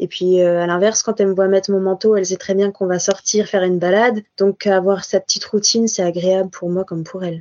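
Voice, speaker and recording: Speaking fairly quickly with hardly any pauses, a woman keeps a medium pitch and a flat, monotone intonation. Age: 20s. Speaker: veterinary student and guide dog foster carer. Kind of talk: casual interview. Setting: video call.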